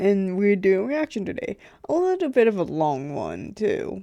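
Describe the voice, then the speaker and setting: Quiet and fairly slow, a woman speaks at medium pitch with a dark, mellow tone on a very clean recording with a silent background. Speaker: YouTube reaction channel host. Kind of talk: reaction video intro. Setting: home computer room. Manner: quiet, keeping voice down; hesitant, many fillers.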